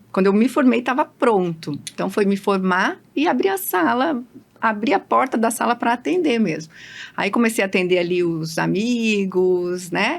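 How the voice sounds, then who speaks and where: This woman's intonation is lively, her pitch medium and her pace moderate. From Londrina, Paraná, Brazil. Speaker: dentist. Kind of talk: interview podcast.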